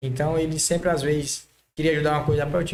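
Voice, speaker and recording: This man's voice is fairly high in pitch. He sounds somewhat breathy. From Maranhão, northeastern Brazil. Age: 30s. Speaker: car body painter, entrepreneur. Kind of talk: podcast interview.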